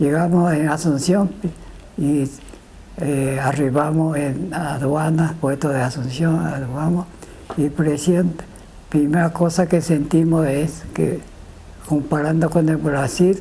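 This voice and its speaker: Noticeable background noise sits under speech at a very slow pace, broken by long, frequent pauses. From Japan. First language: Japanese (speaking Spanish). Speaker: immigrant witness. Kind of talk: testimony. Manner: halting.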